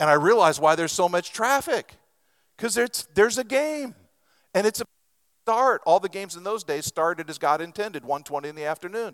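This man speaks with an American accent at a fairly quick pace, his voice pitched high and his loudness swinging widely. The sound is dry and close with no echo, and the recording is very clean against a silent background. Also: lively intonation. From Western Oregon, US. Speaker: pastor, seminary leader. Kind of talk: sermon.

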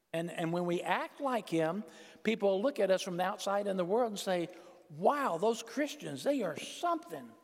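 A man's high-pitched voice at a moderate pace with lively intonation, amid noticeable background noise. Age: 60s. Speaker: preacher. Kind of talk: sermon. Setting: church. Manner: animated.

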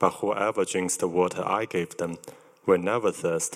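This man's very deep, low-pitched voice is resonant, and he talks at a moderate pace. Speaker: Bible reader. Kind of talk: reading aloud. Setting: church.

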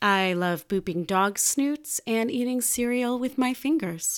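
A woman with an American accent at a very slow pace, ordinary pitch variation, on a very clean recording with a silent background. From Chicago, US Midwest. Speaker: podcast host, creative coach. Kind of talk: solo podcast monologue. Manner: animated.

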